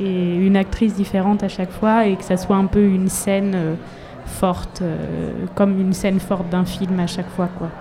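A woman with a medium pitch talks in a monotone, flat intonation at a moderate pace. Audible room echo and noticeable background noise are present. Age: 30s. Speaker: singer-songwriter. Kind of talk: interview. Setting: live in front of an audience. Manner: halting.

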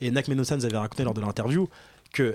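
A man with an ordinary speaking voice talks fairly quickly at medium pitch, with ordinary pitch variation. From Paris suburbs, Seine-Saint-Denis. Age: 20s. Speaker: radio host. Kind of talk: casual radio chat. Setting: radio studio.

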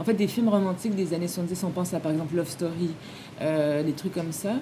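A woman talks fairly low in pitch, keeping a moderate pace and ordinary pitch variation. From Quebec. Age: 40s. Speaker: film director. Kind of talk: interview. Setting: film festival.

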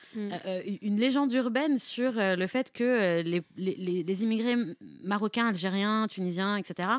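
This woman has a normal speaking voice at medium pitch with ordinary pitch variation, recorded very cleanly against a silent background in a dry, close sound with no echo. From Nanterre, Paris suburbs. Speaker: freelance journalist. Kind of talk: radio interview.

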